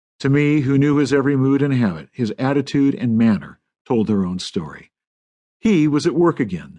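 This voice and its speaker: A man speaks in an American accent at a moderate pace, his pitch fairly high. His tone is dark and mellow, with lively intonation. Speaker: audiobook narrator. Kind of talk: audiobook narration. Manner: well paced.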